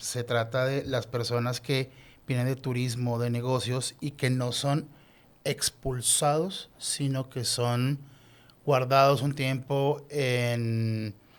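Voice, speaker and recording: At a very slow pace, a man speaks with a Colombian accent. His medium-pitched voice is monotone, with flat intonation. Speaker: lawyer and doctoral researcher. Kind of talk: podcast interview.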